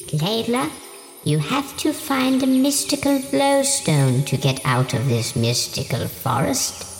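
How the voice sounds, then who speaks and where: The speaker uses a put-on character voice at a middle pitch and a fairly slow pace. Background noise is clearly audible. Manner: quiet.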